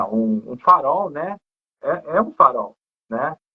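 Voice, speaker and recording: This man talks at a very slow pace. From Brazil, not Rio de Janeiro. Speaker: live stream host. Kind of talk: casual live interview. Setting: Instagram live.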